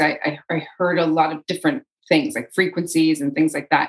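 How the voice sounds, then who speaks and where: A woman's fairly low voice shows typical rise and fall in pitch while she talks at a moderate speed. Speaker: energy healer. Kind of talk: interview storytelling. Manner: loud.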